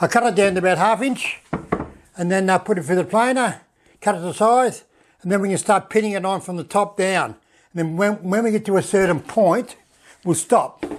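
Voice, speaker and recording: The speech moves at a fairly quick pace with ordinary pitch variation. Long pauses come often. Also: man, high pitch for a man. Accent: Australian. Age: 70s. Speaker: woodworking channel host. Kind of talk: casual tutorial narration. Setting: home workshop shed. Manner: halting, many fillers and repeats.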